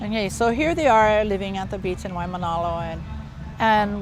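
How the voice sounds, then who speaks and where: The speaker is a woman. Room echo is audible around her voice. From Hawaii, Oahu (Honolulu). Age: 60s. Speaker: retired anthropology professor and activist. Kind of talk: interview. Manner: casual, conversational with fillers.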